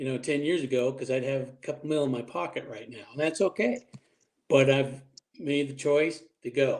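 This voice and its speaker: In a plain, everyday voice, the speaker keeps a moderate pace and fairly even intonation. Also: man. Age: 60s. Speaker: military veteran. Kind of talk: casual group podcast chat. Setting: group call.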